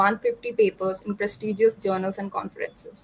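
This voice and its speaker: A woman's fairly high, somewhat breathy voice with monotone, flat intonation at a moderate pace. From India. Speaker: student event host; event host. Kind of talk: scripted introduction; interview. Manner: formal. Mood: polite, warm.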